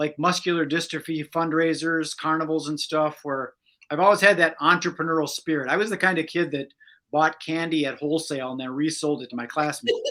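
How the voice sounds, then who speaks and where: Delivered at a fairly quick pace in an American accent, the voice has a bright, sharp tone and fairly even intonation on a very clean recording with a silent background. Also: man, fairly high pitch for a man. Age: 60s. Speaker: magician and entrepreneur. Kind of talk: interview.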